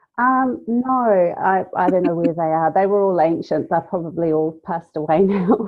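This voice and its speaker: A woman with a New Zealand accent, medium pitch and ordinary pitch variation, at a moderate pace with hardly any pauses. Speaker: graphic designer. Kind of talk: podcast interview.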